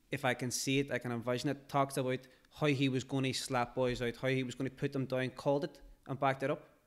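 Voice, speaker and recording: A man speaks very fast at a medium pitch, recorded very cleanly against a silent background. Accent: Derry. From Northern Ireland, Derry. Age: young. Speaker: rapper. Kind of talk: podcast interview. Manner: animated.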